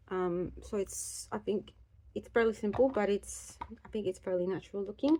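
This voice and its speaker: A woman speaks at a fairly quick pace at medium pitch. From Australia. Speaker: life coach, beauty vlogger. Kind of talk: casual get-ready-with-me talk. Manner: fast.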